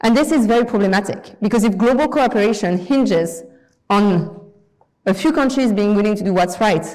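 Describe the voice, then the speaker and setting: With a French accent, a woman speaks at medium pitch and a fairly quick pace, with ordinary pitch variation and audible room echo. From France. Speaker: guest lecturer. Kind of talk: lecture. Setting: lecture hall with audience.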